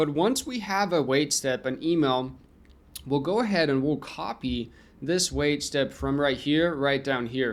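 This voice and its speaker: A man speaks in an unremarkable speaking voice at a fairly high pitch. The recording is very clean, with a silent background. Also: ordinary pitch variation, fairly slow pace. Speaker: software tutorial creator. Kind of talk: tutorial. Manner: casual, conversational.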